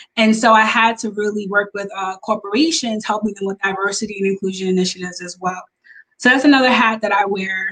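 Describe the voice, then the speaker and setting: A woman with an unremarkable speaking voice talks at a fairly quick pace, her pitch fairly high and her intonation fairly even. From Long Island, New York. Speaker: business consultant and coach. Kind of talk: interview.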